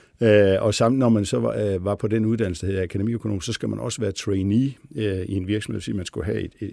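A fairly low-pitched man with a dark, mellow tone, fairly quick pace and ordinary pitch variation, on a very clean recording with a silent background. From Denmark, Billund (Jutland). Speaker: company CEO. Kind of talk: interview. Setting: studio. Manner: halting, many fillers.

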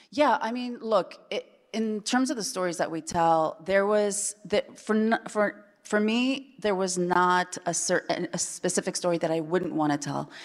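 In an unremarkable speaking voice, a woman with an American accent talks at a fairly slow pace with medium pitch, lively intonation and hardly any pauses. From Chile, then Iowa from age 8. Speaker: TV showrunner. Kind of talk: panel discussion. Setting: stage with audience.

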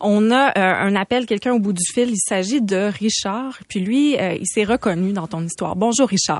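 In an ordinary speaking voice, a woman of medium pitch talks at a moderate pace with ordinary pitch variation and hardly any pauses. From Quebec, Saguenay. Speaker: radio host. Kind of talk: radio interview. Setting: studio.

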